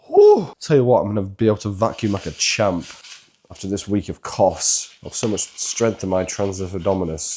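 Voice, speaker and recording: A man with a British accent and a very deep, low pitch, fairly even intonation, and noticeable background noise. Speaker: fitness coach. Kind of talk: casual cooking tutorial.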